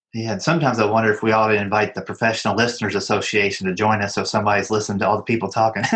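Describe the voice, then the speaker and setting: Hardly pausing, a man talks at a very fast pace. His intonation stays fairly even. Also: fairly low pitch for a man. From Kentucky. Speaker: podcast host. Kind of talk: interview.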